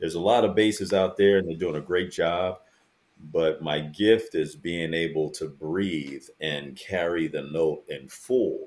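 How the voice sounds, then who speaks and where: A man with a very deep, low, resonant voice speaks at a fairly slow pace with ordinary pitch variation. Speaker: a cappella bass singer. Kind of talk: casual interview chat.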